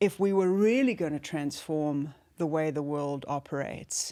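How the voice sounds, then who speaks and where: A woman speaks with a South African accent. Her pace is very slow. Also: very clean recording, silent background. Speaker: former business executive and leadership guide. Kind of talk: interview conversation. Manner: reflective, with many fillers.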